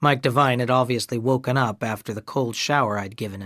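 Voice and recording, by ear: Text is being read aloud in a natural voice.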